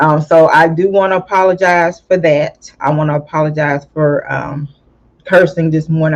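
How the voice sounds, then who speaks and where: A woman speaks in a Southern US accent at a very deep, low pitch. Her intonation is monotone and flat. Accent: country Southern, slow and drawling. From California, then US South. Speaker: YouTube commentator. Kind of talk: casual commentary. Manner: slow; drawling, emotional.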